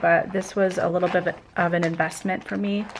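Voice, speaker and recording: A woman talks at a moderate pace with fairly even intonation and noticeable background noise. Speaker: vlogger. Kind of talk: vlog. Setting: at home at night. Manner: soft-spoken; hesitant, many fillers.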